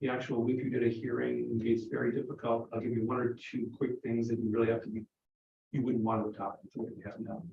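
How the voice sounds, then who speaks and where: A man speaks at a very fast pace. His intonation is monotone and flat. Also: medium pitch for a man. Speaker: legislator. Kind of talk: committee briefing.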